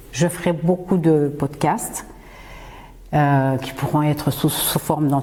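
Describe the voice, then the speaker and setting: Noticeable background noise sits behind a woman with a very deep, low pitch. Her intonation is fairly even and her pace very slow. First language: Swahili (speaking French). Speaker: podcast host and singer. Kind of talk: podcast monologue. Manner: hesitant, frequent fillers.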